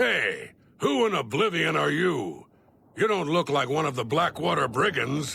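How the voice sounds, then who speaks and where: Doing a raspy put-on character voice, a man talks at a moderate pace in a fairly high pitch. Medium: video game. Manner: hostile, threatening.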